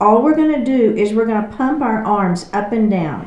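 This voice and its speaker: A woman with a Texas accent speaks at a fairly high pitch, with audible room echo around her. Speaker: yoga instructor. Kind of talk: guided exercise class.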